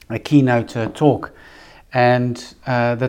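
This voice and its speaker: Against a quiet background, a man with a Dutch accent speaks at a medium pitch and a very slow pace. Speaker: podcast host, business coach, former pastor. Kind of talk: solo monologue podcast. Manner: hesitant, many filler words.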